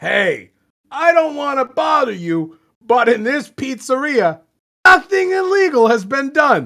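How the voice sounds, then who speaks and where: The speaker uses a put-on character voice pitched high. The pitch swings very widely. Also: fairly slow pace. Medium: read story.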